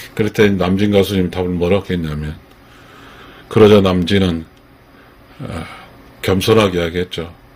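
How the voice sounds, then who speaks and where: Over noticeable background noise, a man with a very deep, low pitch talks at a moderate pace with fairly even intonation. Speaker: fan commentator. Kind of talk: casual commentary talk to camera.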